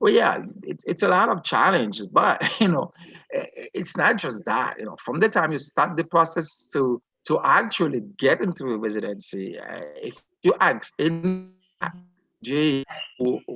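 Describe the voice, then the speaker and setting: Speaking at a moderate speed, the man has a non-native accent. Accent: foreign. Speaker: physician. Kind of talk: interview.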